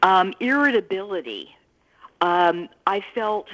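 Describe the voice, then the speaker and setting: Here a woman talks at a medium pitch. Her intonation is lively. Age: 60s. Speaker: patient sharing her health story. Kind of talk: testimony. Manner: hesitant with fillers.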